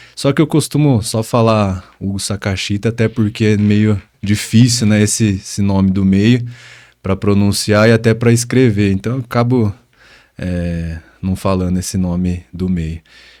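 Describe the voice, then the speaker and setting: A man speaks at a fairly low pitch and a fairly slow pace in a dark, mellow tone. The recording is very clean, with a silent background. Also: ordinary pitch variation. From interior of São Paulo state, Brazil. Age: 20s. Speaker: personal trainer. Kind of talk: interview. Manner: hesitant, many fillers.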